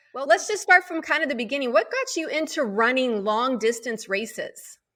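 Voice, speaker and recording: A woman with an American accent speaks in a raised, projected voice at a high pitch. Her pitch swings very widely, and her pace is moderate. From Arizona (Prescott). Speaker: interview show host. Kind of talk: interview.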